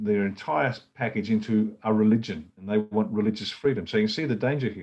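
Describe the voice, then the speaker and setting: A man with an Australian accent at a moderate pace, ordinary pitch variation and a quiet background. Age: 60s. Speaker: political party leader. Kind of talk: political talk. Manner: animated.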